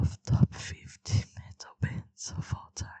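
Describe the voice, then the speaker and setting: Someone whispers at a very slow pace. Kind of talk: reading a wiki article aloud. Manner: whispered.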